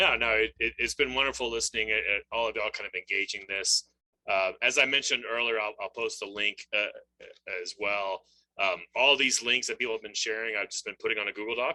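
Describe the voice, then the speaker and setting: A man's bright, sharp voice at a medium pitch, fairly even in intonation and fairly quick in pace, in a dry, close sound with no echo. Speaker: webinar moderator. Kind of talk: webinar closing remarks. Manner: fast.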